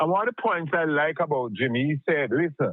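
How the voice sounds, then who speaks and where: A man with a Jamaican accent, a fairly high pitch, ordinary pitch variation and a moderate pace. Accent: Jamaican English with patois. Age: 70s. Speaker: caller. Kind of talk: phone-in discussion. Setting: phone call.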